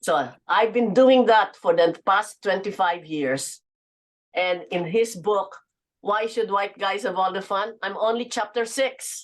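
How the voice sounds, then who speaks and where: The woman's pitch is medium. She talks fairly slowly. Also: ordinary pitch variation. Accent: Filipino. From Philippines. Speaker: businesswoman and author. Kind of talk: interview.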